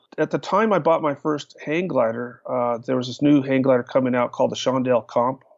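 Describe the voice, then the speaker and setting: Fairly quick speech from a man, pitched fairly high. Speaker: hang glider pilot. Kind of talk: interview. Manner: halting.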